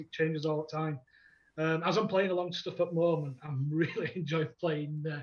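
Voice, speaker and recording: A man in a Yorkshire accent speaks at a moderate pace and a pitch that is high for a man. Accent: broad Yorkshire. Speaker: metal bassist. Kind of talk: casual chat.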